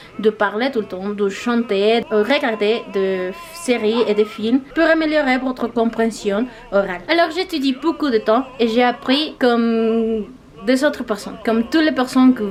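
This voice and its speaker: Amid noticeable background noise, a woman with a Spanish accent speaks at a fairly slow pace, her fairly high voice carrying lively intonation. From Mexico. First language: Spanish (speaking French). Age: 20s. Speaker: language-learning YouTuber. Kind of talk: vlog monologue. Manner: halting, with hesitations.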